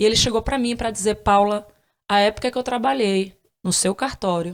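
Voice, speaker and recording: A woman speaks in a plain, everyday voice at a medium pitch and moderate pace, with ordinary pitch variation. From Brazil, Northeast. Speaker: podcast host, former court analyst. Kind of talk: interview, personal story.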